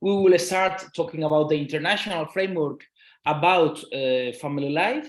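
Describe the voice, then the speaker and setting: A man with a Spanish accent, fairly high in pitch, at a moderate pace with ordinary pitch variation and audible room echo. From Spain. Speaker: law professor. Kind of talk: lecture. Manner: halting, many fillers and repetitions.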